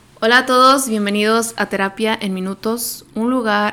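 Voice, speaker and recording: Delivery is very slow, with fairly even intonation. The tone is bright and sharp. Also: woman. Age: 20s. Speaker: psychotherapist podcast host. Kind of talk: casual monologue.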